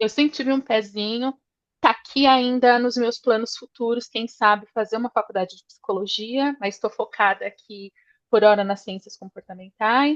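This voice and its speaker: At a moderate pace, a woman with an unremarkable speaking voice talks at a fairly high pitch with fairly even intonation, in a dry, close sound with no echo. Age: 40s. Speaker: change management professional, course student. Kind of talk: self-introduction in online class.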